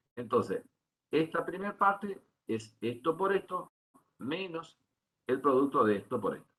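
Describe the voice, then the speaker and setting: A man speaks at a moderate pace in a fairly high pitch with very wide pitch swings. His tone is bright and sharp. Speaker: university lecturer. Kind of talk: lecture.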